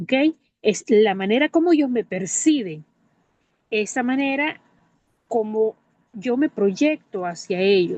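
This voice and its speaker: Delivered at a very slow pace, the speech has very wide pitch swings and long, frequent pauses. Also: woman, fairly high pitch for a woman, dry, close sound with no echo. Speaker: teacher. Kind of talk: testimony.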